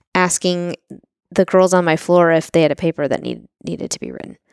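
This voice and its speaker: A woman's plain, everyday voice at a medium pitch, fairly quick and fairly even, on a very clean recording with a silent background and a dry, close sound with no echo. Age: 40s. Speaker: real estate entrepreneur and podcast co-host. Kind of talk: casual chat.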